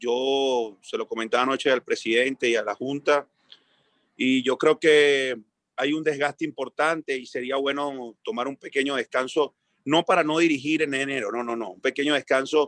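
A man talks at a moderate pace in an ordinary speaking voice, pitched fairly high with fairly even intonation. The sound is dry and close, with no echo. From Venezuela. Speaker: football coach. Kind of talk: interview.

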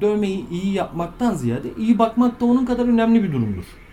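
A man speaks at a fairly slow pace with very wide pitch swings, over noticeable background noise. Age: 30s. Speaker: tattoo artist. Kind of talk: interview.

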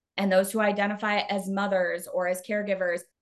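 With an American accent, a woman of medium pitch has an ordinary speaking voice and talks at a moderate pace. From Arizona. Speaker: communications consultant and tech sales leader. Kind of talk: interview conversation.

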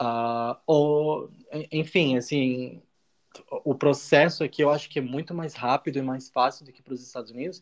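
Using a plain, everyday voice, a man speaks at a moderate pace with a fairly high pitch. His intonation is fairly even, while his loudness swings widely. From Brazil, Santa Catarina (small coastal town). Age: 30s. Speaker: master's student and foreign trade professional. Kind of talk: casual interview.

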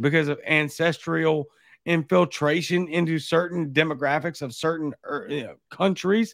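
A man with a Louisiana accent and a fairly high pitch at a fairly slow pace, on a very clean recording with a silent background. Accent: Louisiana Southern. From Baton Rouge, Louisiana. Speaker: podcast host. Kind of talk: casual chat.

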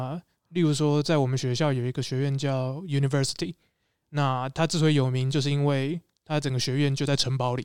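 A man with a Taiwanese accent speaks at a fairly quick pace. His fairly high voice has monotone, flat intonation. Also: very clean recording, silent background. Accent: Taiwanese Mandarin. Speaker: former graduate student and street performer. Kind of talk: casual chat.

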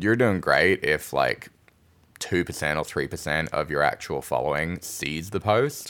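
A man's very deep, low voice with vocal fry and an Australian accent. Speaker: podcast co-host, marketing expert. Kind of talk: casual chat.

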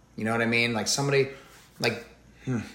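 Audible room echo and noticeable background noise surround a man speaking with an American accent. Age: 30s. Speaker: athlete and former TV meteorologist. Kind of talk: interview.

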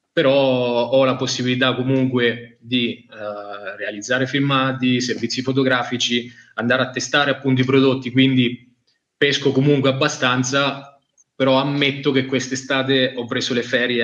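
The speaker is a man with monotone, flat intonation. He talks at a moderate pace. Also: medium pitch for a man. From Italy, Marche (Macerata province). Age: 20s. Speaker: fishing brand product manager. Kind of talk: casual interview on live stream.

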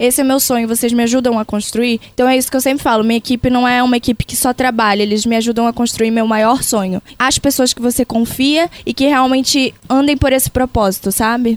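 A woman with a Pará accent, high-pitched for a woman, at a fairly quick pace with hardly any pauses, fairly even intonation, and a dry, close sound with no echo. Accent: Pará (northern Brazilian). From Brazil, Pará (Castanhal). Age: 20s. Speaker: social media influencer. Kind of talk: interview.

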